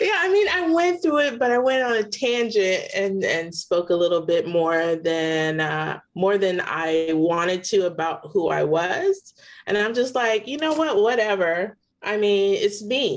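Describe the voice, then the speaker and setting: At a fairly slow pace, a woman with a medium-pitched voice lets her pitch swing very widely. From Philippines. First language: non-English (Philippine language). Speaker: photographer. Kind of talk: interview.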